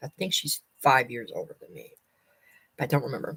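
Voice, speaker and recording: Her voice is somewhat breathy. The woman talks fairly quickly. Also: dry, close sound with no echo. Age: 50s. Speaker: vlogger. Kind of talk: casual chat. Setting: livestream.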